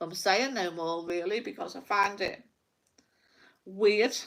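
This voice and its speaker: This woman talks at a fairly slow pace with a Liverpool accent. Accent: Scouse (Liverpool). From Liverpool, England. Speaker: psychic livestreamer. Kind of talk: casual livestream rant. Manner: animated.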